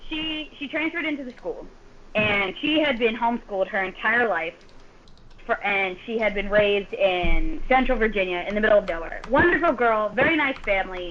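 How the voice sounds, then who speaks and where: A woman with an American accent and a fairly high pitch at a fairly quick pace, with noticeable background noise. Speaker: podcast guest, host's older sister. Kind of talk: casual chat.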